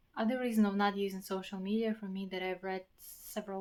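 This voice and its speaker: A woman with a non-native accent speaks in a monotone, flat intonation. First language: not English. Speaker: vlogger. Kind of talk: personal vlog monologue. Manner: halting, with repetitions.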